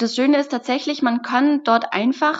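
A woman is speaking. Her pace is moderate. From southern Germany, Stuttgart area, Sicilian parents. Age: 20s. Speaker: bride. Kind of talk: interview.

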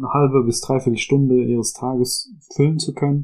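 Medium-pitched male voice with a dark, mellow tone. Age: 30s. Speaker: podcast co-host. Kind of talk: casual chat. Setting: remote recording.

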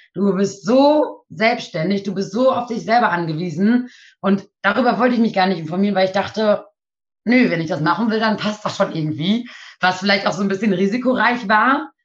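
Her voice is somewhat breathy and medium in pitch. The woman keeps a moderate pace with ordinary pitch variation. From Nienburg, Lower Saxony. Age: 20s. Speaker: trainee midwife. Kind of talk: interview.

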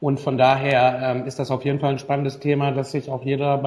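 This man talks at a fairly quick pace in a fairly high pitch, somewhat breathy and with monotone, flat intonation. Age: 40s. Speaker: online marketing consultant. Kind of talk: interview. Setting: Skype call.

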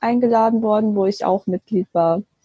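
A woman speaks at a medium pitch with a dark, mellow tone, somewhat breathy and with fairly even intonation, in a dry, close recording with no echo. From southern Germany, Swabia. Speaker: university student. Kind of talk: interview.

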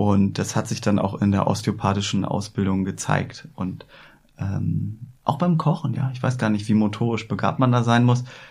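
Somewhat breathy, a man talks at a moderate pace. His pitch is fairly low, with ordinary variation. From northern Germany, Hamburg. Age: 30s. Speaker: card magician. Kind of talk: casual chat. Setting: studio.

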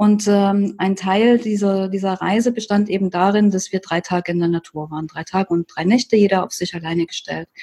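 A woman speaks at medium pitch in a somewhat breathy voice with a dark, mellow tone. Her intonation is fairly even, and the sound is dry and close with no echo. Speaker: life coach. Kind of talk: interview.

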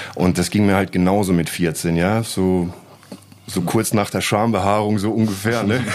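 Noticeable background noise accompanies a man's fairly slow delivery, which carries ordinary pitch variation. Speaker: graffiti artist. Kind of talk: casual chat. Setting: studio.

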